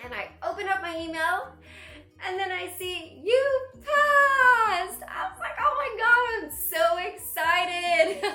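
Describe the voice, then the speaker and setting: A woman speaks in a raised, projected voice at an extremely high pitch, her tone animated, bright and sharp, with very wide pitch swings. Audible room echo surrounds her voice. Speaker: actress and comedy student. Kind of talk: casual vlog.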